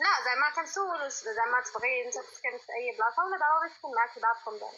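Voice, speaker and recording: Very fast speech with very wide pitch swings and big swings in loudness. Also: woman, high pitch for a woman. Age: 20s. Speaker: insurance worker, marriage candidate. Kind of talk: matchmaking conversation.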